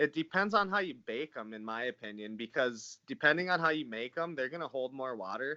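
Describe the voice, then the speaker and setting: Over a quiet background, a man with an American accent talks at a fairly quick pace with hardly any pauses, his tone bright and sharp, his intonation lively, and the sound dry and close with no echo. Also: medium pitch for a man. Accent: sounds kinda Canadian. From northern Minnesota. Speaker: natural bodybuilder. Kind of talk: podcast interview.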